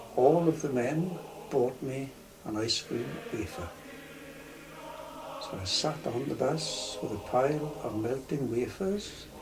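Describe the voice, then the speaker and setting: Lively intonation marks this man's medium-pitched voice at a fairly slow pace. He leaves long, frequent pauses over noticeable background noise. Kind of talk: personal reminiscence storytelling.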